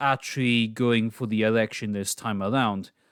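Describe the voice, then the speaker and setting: The man talks at a moderate pace in a dry, close sound with no echo, on a very clean recording with a silent background. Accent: Scottish. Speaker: political commentary youtuber. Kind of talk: casual commentary monologue.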